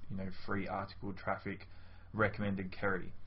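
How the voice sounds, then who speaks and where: A man speaks fairly quickly in a fairly low, somewhat breathy voice. His intonation stays fairly even. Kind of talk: testimonial, casual direct address. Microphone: webcam.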